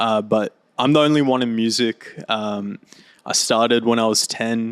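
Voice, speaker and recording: Talking at a fairly slow pace with an Australian accent, a man keeps very even loudness and fairly even intonation, with a dry, close sound and no echo. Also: medium pitch for a man. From Australia, Gold Coast. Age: 20s. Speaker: DJ and music producer. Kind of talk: casual chat.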